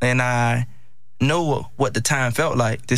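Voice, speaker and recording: A medium-pitched man with an American accent, amid audible room echo. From Miami, Florida (Liberty City). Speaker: former college football player. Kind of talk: interview. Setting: studio.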